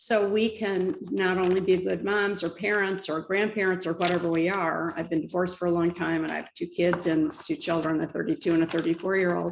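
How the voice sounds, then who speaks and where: The voice moves at a moderate pace with noticeable vocal fry. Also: woman. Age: 70s. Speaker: spiritual author. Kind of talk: interview.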